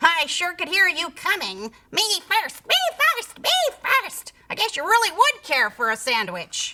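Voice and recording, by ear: A woman puts on a character voice with extremely high pitch and a bright, sharp tone. She goes at a fairly slow pace with big pitch swings.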